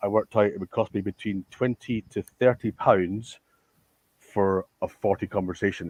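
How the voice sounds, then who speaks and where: In a Scottish accent, a man talks at a fairly low pitch and a moderate pace. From Scotland. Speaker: tech company founder. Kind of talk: panel discussion. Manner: halting, stammering.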